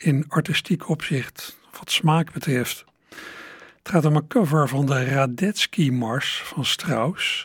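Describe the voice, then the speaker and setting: Very slowly and somewhat breathily, a man speaks at a fairly high pitch with ordinary pitch variation, in a dry, close sound with no echo and a very clean recording over a silent background. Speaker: radio host and music presenter. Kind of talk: radio presentation between songs.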